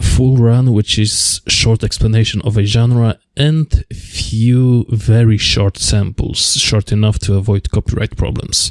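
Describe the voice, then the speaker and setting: A man with a Polish accent speaks at a medium pitch with fairly even intonation, very even loudness and hardly any pauses, in a dry, close sound with no echo. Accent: Polish accent, rough. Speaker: music video essayist. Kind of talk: video essay narration.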